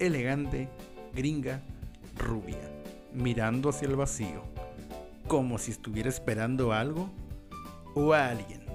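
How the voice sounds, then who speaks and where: With music in the background, a man of medium pitch speaks fairly slowly, taking long, frequent pauses. His tone is dramatic and his intonation lively. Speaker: podcast host. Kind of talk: horror story podcast narration. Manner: dramatic, with dark humor.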